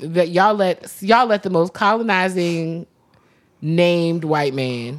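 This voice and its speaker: A woman with an American accent talks at a fairly slow pace in an ordinary speaking voice. Her pitch is fairly low, with ordinary pitch variation. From US East Coast. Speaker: podcast co-host. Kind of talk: casual chat.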